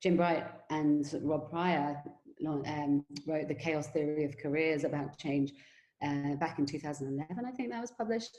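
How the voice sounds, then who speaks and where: The pitch moves in an ordinary way. The tone is dark and mellow. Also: woman. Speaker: education company CEO and webinar host. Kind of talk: webinar presentation. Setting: online webinar. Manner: fast.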